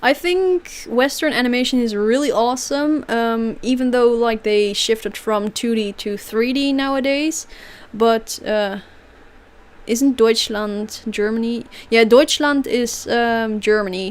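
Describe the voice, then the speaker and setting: The speaker has a Dutch accent and talks at a fairly slow pace. Pitch moves with ordinary variation. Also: woman, fairly high pitch for a woman. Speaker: streamer. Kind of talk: livestream Q&A. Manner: casual, hesitant with fillers.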